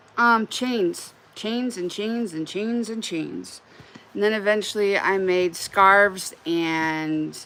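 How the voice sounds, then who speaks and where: A woman's bright, sharp tone at medium pitch, at a very slow pace, in a Wyoming accent. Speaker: crochet livestreamer. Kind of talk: casual livestream chat while crocheting. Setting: live stream. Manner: casual, frequent filler words.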